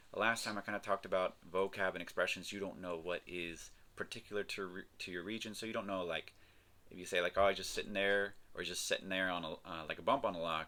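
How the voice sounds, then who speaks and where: A man with an American accent talks at a very deep, low pitch in a bright, sharp tone. His pace is fairly quick and his intonation fairly even. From North Carolina, US. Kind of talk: casual talk to camera.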